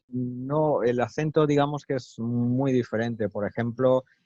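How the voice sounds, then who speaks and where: Against a quiet background, a man speaks at a very slow pace in a dark, mellow tone, the sound dry and close with no echo. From Spain, Málaga (Andalusia). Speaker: interviewee, native speaker. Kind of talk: interview. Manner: hesitant, many fillers.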